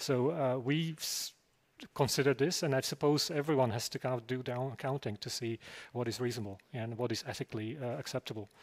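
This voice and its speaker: On a very clean recording with a silent background and a dry, close sound with no echo, a man with an ordinary speaking voice speaks at medium pitch and a fairly quick pace, with ordinary pitch variation. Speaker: typographer and designer. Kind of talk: panel Q&A discussion.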